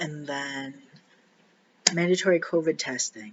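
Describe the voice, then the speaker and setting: A man speaks quietly. His pitch variation is ordinary. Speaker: vlogger sharing personal surgery experience. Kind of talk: casual personal vlog. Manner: halting, many fillers.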